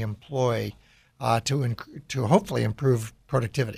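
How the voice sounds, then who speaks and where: On a very clean recording, the background is silent. A somewhat breathy voice speaks at a moderate pace. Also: man. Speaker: radio host and business executive. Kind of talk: radio interview.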